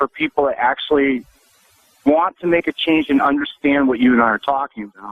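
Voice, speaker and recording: A man with an unremarkable speaking voice, lively intonation and a fairly quick pace. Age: 60s. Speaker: physician and author. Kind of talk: radio interview.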